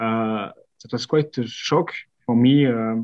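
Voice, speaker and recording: Over a quiet background, a man with a French accent speaks in a fairly even intonation. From France. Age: 20s. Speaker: company co-founder. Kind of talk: podcast interview. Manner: halting.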